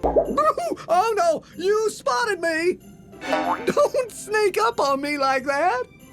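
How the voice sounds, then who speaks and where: Over clear music and sound effects in the background, a put-on character voice at an extremely high pitch moves very slowly with very wide pitch swings. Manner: nervous, stammering.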